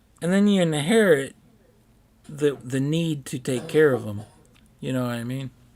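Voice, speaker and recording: Mumbling from a man at a moderate pace, fairly high pitch, lively intonation, and long, frequent pauses. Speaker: gaming streamer. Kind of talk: casual chat.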